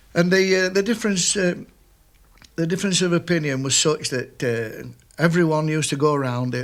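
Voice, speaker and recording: With a Lancashire accent, a man speaks at a moderate pace and with ordinary pitch variation. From northern England, Nelson, Lancashire. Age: 60s. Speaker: retiring mill worker. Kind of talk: interview reminiscence. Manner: halting.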